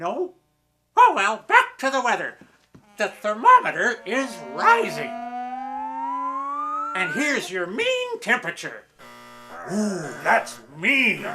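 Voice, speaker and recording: Faint music plays behind a man doing a put-on character voice at an extremely high pitch, raised and projected, delivered at a fairly slow pace. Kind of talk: mock TV weather forecast. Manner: goofy, rambling.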